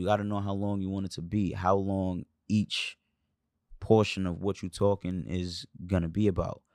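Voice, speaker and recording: A man with a New York accent talks at a fairly low pitch and a moderate pace, in a monotone, flat intonation. The recording is very clean and dry, with a silent background and a close sound with no echo. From New York, Brooklyn. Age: 20s. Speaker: rapper. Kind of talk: casual chat.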